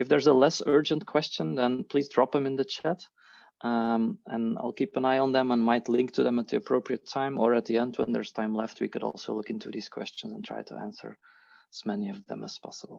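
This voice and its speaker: A man with a non-native accent talks at a fairly quick pace and a medium pitch, using lively intonation and big swings in loudness. The sound is dry and close with no echo, over a quiet background. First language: not English. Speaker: agile and leadership coach. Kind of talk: online workshop presentation. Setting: video call.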